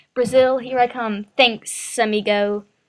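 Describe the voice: A woman puts on a character voice at a fairly high pitch. She speaks at a fairly slow pace, with hissing.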